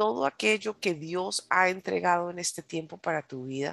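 Over a quiet background, a woman speaks with a very deep, low pitch and an animated tone. Her intonation is lively, and the sound is dry and close with no echo. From United States, Colombian descent. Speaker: preacher. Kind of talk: sermon.

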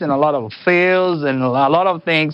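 With a non-native accent, a man speaks. His pitch is fairly high. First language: not English. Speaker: band leader musician.

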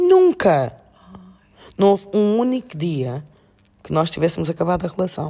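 A woman speaks in a dark, mellow, fairly low voice at a moderate pace. She leaves long, frequent pauses. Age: 50s. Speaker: master's student and coach. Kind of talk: casual chat.

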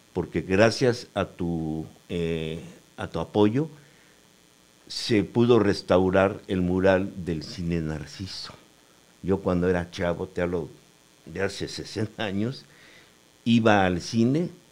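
Speaking at a very slow pace with long, frequent pauses, a man uses a very deep, low voice with ordinary pitch variation. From Mexico, Cuautla, Morelos. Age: 70s. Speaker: painter and graphic designer. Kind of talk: interview. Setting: studio.

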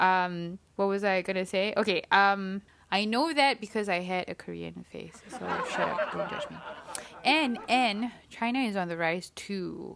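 Against noticeable background noise, a woman speaks at a fairly slow pace in an animated tone, at a medium pitch with ordinary pitch variation. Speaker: podcast host. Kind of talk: casual solo podcast monologue. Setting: solo recording. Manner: chatty, animated.

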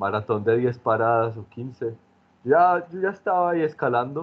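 Here a man with an unremarkable speaking voice talks at a moderate pace and medium pitch, with ordinary pitch variation. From Medellín, Colombia. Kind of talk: casual chat.

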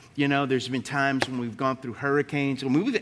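In a Southern US accent, a man speaks with a fairly high pitch. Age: 50s. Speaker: pastor. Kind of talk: onstage interview-style sermon. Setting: church service with congregation.

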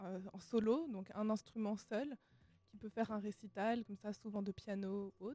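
Fairly high in pitch, a woman talks at a fairly slow pace with fairly even intonation and a dark, mellow tone. The sound is dry and close with no echo. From Switzerland (Lausanne). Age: young. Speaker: classical musician. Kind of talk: radio interview.

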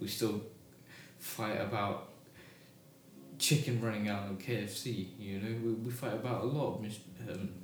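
A man with a British accent talks at a fairly slow pace, with long, frequent pauses. His fairly low voice is somewhat breathy, with fairly even intonation. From Britain. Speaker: discussion stream host. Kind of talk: casual chat. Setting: live stream.

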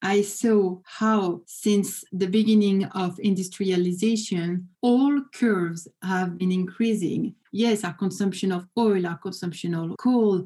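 A woman with a French accent talks at a fairly slow pace with hardly any pauses and fairly even intonation. Her voice is somewhat breathy, with a dark, mellow tone. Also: medium pitch for a woman. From France. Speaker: business professor. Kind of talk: interview. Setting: video call.

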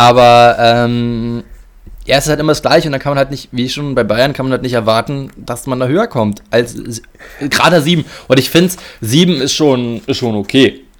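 A man talks at a moderate pace in a medium pitch with ordinary pitch variation, a plain, everyday voice. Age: 20s. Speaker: football podcast co-host. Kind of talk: casual chat.

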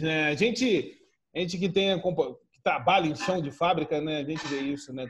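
The speaker is a man with a fairly high pitch. His voice is somewhat breathy, with ordinary pitch variation. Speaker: podcast host. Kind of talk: casual chat.

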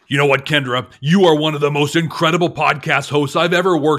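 A man speaks at a fairly quick clip in a put-on character voice, his fairly high pitch held to fairly even intonation and very even loudness. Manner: bombastic, announcing.

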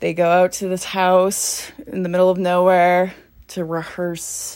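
Speaking at a fairly slow pace, a woman with a medium pitch talks with a western Canadian accent. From Canada, northern Alberta (small town). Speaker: film journalist, horror and metal commentator. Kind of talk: casual monologue. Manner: animated.

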